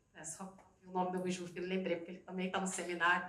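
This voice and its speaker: Audible room echo surrounds this woman's speech. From Rio de Janeiro, Brazil. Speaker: educator and project leader. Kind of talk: conference talk.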